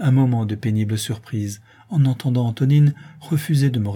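The pitch varies in an ordinary way as the speaker is reading aloud in a natural voice.

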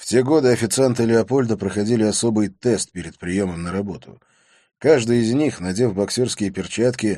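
A natural reading voice moves through the text with ordinary pitch variation.

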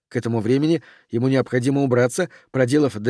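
The clip presents an unforced reading voice.

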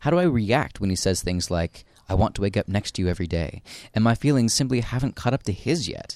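Here a man speaks at a fairly quick pace with lively intonation. His fairly low voice has a slightly mellow tone.

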